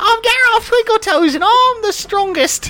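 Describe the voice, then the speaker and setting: An extremely high-pitched, put-on character voice talks at a moderate pace over light background noise. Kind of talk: bold, proud. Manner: silly, boastful.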